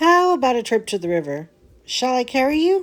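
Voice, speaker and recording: Over music in the background, a woman puts on a character voice at a high pitch, with very wide pitch swings and a fairly quick pace. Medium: read story. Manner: gentle, warm.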